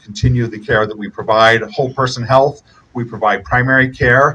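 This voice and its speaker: Loud and fairly quick, a man talks in a bright, sharp tone. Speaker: healthcare company executive. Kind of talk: ribbon-cutting speech. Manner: halting with many fillers.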